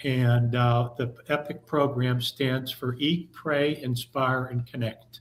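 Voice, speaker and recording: A man's somewhat breathy, medium-pitched voice at a fairly slow pace, in a monotone, flat intonation. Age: 60s. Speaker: church youth volunteer, panelist. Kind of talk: panel self-introduction. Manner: halting, many fillers.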